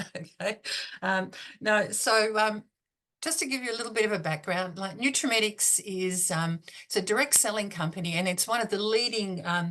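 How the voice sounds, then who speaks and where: With an Australian accent, a woman talks at a moderate pace in a bright, sharp tone, her medium pitch showing ordinary pitch variation over a quiet background. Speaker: beauty consultant and trainer. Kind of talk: business talk. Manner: halting, many fillers.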